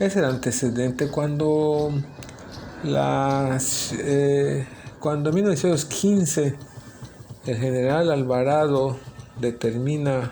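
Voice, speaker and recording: Against noticeable background noise, a man with a fairly high pitch speaks at a very slow pace with long, frequent pauses. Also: ordinary pitch variation. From Felipe Carrillo Puerto, Quintana Roo, Mexico. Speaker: city chronicler. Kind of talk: interview answer.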